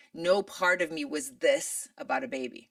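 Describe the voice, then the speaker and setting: A woman speaks with an American accent. Her fairly high voice swings very widely in pitch. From Michigan, USA. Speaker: actress. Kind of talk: interview answer.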